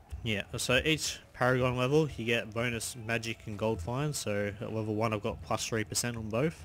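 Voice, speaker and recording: With an Australian accent, a man speaks fairly slowly at a medium pitch and with ordinary pitch variation. He uses hardly any pauses. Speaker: gaming YouTuber. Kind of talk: gameplay commentary. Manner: casual, animated.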